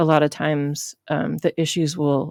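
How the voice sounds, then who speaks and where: A woman with a very deep, low pitch speaks in fairly even intonation, the sound dry and close with no echo. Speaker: web development instructor. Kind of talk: screen-recorded coding tutorial. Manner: off the cuff, many filler words.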